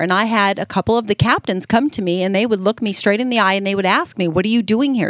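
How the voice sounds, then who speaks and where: In a very clean recording with a silent background and a dry, close sound with no echo, a woman speaks with an American accent at a medium pitch and ordinary pitch variation. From Las Vegas, Nevada. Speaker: retired firefighter and bomb technician. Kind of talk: interview.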